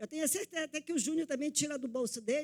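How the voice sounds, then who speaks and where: A woman's high, lively voice. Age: 60s. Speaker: NGO activist. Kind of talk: public speech at legislative session. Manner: impassioned.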